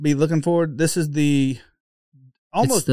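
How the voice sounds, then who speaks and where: Speaking with an Oklahoma accent, a man has a fairly high pitch and a dark, mellow tone. His intonation is fairly even, and his pace is fairly slow. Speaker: podcast host.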